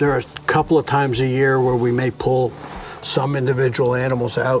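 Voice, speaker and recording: Monotone, flat male speech at medium pitch, fairly quick and very even in loudness, with noticeable background noise. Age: 70s. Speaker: farmer. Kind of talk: interview.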